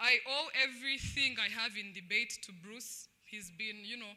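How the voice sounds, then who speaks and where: The speaker has a Rwandan accent. The pace is fairly slow. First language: Kinyarwanda. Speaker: former student debater. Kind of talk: speech at a celebration. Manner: loud.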